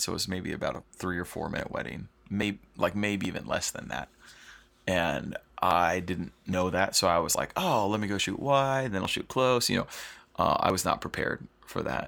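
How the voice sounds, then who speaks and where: A man with a very deep, low pitch and vocal fry speaks at a moderate pace with lively intonation. The recording is very clean, with a silent background. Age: 30s. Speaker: wedding photographer and podcast host. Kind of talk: solo podcast storytelling. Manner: casual, filler-heavy.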